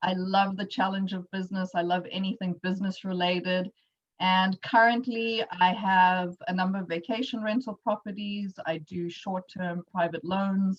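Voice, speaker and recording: A woman speaks in a South African accent with a medium, somewhat breathy voice. Her pace is moderate and her intonation fairly even. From South Africa, Johannesburg. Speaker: entrepreneur, workshop speaker. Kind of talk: presentation.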